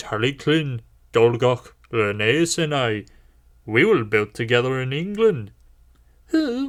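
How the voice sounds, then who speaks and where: Using a put-on character voice, a man at medium pitch talks at a fairly slow pace with long, frequent pauses. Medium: read story. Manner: wry, fond.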